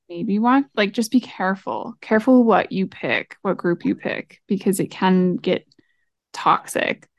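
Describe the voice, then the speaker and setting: Over a quiet background, a woman with a normal speaking voice talks at a fairly slow pace and a fairly high pitch, with ordinary pitch variation and a dry, close sound with no echo. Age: 20s. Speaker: marketer and podcast co-host. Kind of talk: casual chat.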